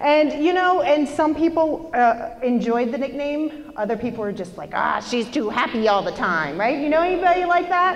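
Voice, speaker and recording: A loud woman's high-pitched voice with lively intonation, a moderate pace and hardly any pauses, plus audible room echo and noticeable background noise. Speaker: motivational speaker. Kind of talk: motivational talk. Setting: stage with audience. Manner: animated.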